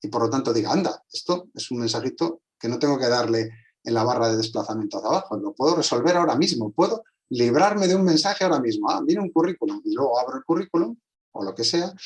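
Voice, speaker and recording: This man talks very fast in a fairly high pitch. His pitch swings very widely. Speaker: translator and communication specialist. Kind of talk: online conversation.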